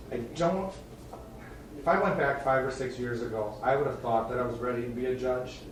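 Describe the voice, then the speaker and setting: In an Upper Midwest accent, a man speaks at a fairly quick pace and medium pitch with ordinary pitch variation, amid audible room echo and noticeable background noise. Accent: Upper Midwest American. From northern Wisconsin. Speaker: judge. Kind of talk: self-introduction at a town board meeting. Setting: town board meeting room. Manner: casual, halting with many fillers. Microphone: soft, quiet recording.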